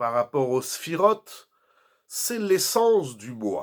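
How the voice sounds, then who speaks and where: A man at a very slow pace with very wide pitch swings, on a very clean recording with a silent background. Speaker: rabbi. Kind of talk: Torah lecture. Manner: soft-spoken.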